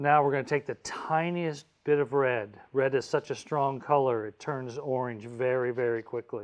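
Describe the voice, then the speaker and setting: At a moderate pace with hardly any pauses, a man talks in an ordinary speaking voice, medium in pitch and fairly even in intonation. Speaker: art professor. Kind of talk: tutorial. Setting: video call.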